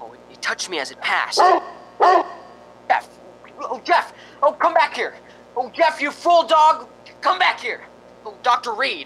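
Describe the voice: A man's put-on character voice, extremely high in pitch, with big pitch swings and a bright, sharp tone. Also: fairly slow pace.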